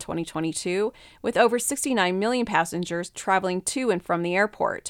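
A woman speaks in a plain, everyday voice at a fairly quick pace with lively intonation. The recording is very clean, with a silent background and a dry, close sound with no echo. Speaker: news reader. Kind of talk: news reading. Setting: studio.

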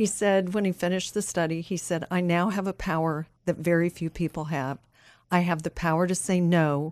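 A woman with a plain, everyday voice speaks at a fairly low pitch and a moderate pace, using fairly even intonation. The recording is very clean, with a silent background. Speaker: ministry leader and coach. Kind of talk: casual chat. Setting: studio.

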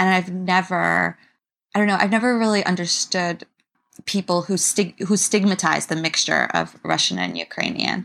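A woman speaks with a New York accent. The recording is very clean with a silent background. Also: moderate pace. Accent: New York American. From US, New York City. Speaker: writer. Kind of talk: interview.

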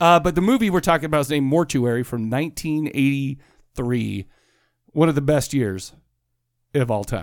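In a very clean recording with a silent background, a man talks at a moderate pace in an ordinary speaking voice, his pitch fairly high. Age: 40s. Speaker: podcast host. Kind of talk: casual chat.

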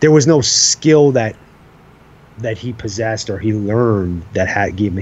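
Against noticeable background noise, a man with an American accent speaks at a moderate pace in a fairly low pitch. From Long Island, New York. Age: 40s. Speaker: hunting podcaster. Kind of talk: casual chat.

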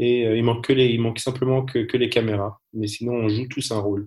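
With fairly even intonation and a somewhat breathy quality, the man's voice sits at a medium pitch. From France. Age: 30s. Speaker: entrepreneur and cosmetics consultant. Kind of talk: interview. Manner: halting.

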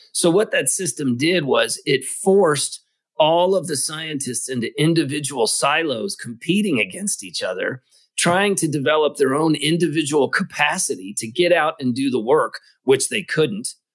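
Speaking with an American accent, a man uses a fairly high pitch and a moderate pace. His intonation is lively and his tone animated. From US, Kentucky. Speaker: ocean research nonprofit founder. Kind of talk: interview.

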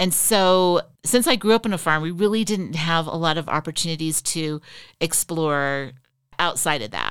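A woman speaks with a Western US accent at a moderate pace and with ordinary pitch variation. The recording is very clean, with a silent background. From Utah, Riverton. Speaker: former state legislator. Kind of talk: interview.

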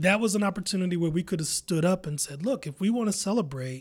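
A man with an American accent talks at a high pitch with lively intonation, on a very clean recording with a silent background. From US Midwest, Columbus, Ohio. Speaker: poet and arts organizer. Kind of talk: interview.

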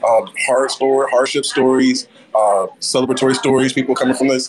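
A man's voice at a very fast pace against noticeable background noise. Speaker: diversity council member. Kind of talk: casual interview. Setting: outdoors at live event.

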